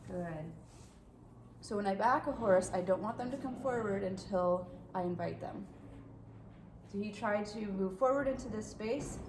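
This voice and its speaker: Against noticeable background noise and audible room echo, a woman speaks at a medium pitch and moderate pace. Her pitch varies an ordinary amount, and she leaves long, frequent pauses. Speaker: horse trainer. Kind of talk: tutorial. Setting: horse stall.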